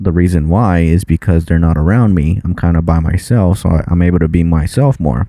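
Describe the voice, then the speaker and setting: Mumbling at a fairly quick pace with hardly any pauses, a man speaks at a very deep, low pitch, with ordinary pitch variation and very even loudness. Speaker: podcast co-host. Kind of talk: casual chat.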